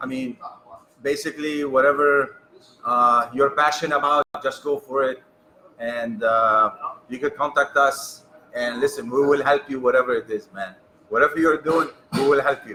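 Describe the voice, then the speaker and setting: Over noticeable background noise, a man with an American accent speaks with a fairly high pitch and fairly even intonation, leaving long, frequent pauses. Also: moderate pace. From New York. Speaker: cigar company co-owner. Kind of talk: casual interview.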